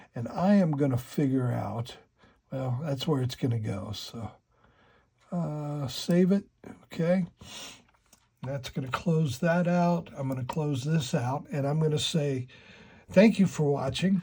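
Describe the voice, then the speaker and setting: A man talks at a fairly high pitch in a somewhat breathy voice with a dark, mellow tone. He goes at a fairly slow pace with ordinary pitch variation and long, frequent pauses. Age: 60s. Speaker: model railroad hobbyist YouTuber. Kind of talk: tutorial. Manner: casual, halting.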